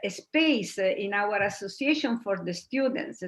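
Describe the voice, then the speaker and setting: Against a quiet background, a woman speaks. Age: 70s. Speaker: social work educator. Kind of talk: conference talk. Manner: halting.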